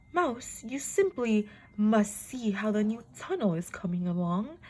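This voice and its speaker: It is a put-on character voice, mumbling its words. The pace is fairly slow. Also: woman, fairly high pitch for a woman. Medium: read story. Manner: mumbling, pompous.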